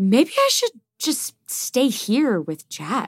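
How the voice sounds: A woman's put-on character voice, fairly high-pitched with a slightly husky edge and very wide pitch swings, at a slow pace, in a dry, close sound with no echo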